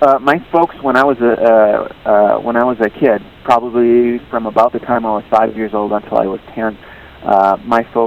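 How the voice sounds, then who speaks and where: A man with an American accent at a medium pitch, ordinary pitch variation and moderate pace, over noticeable background noise. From Wisconsin, US Midwest. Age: 40s. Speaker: novelist. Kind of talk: interview. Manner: halting, many fillers.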